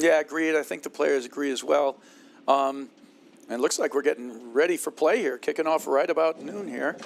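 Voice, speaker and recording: Pitched fairly high, a man talks at a moderate pace with ordinary pitch variation. There is noticeable background noise. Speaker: sports commentator. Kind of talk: live commentary.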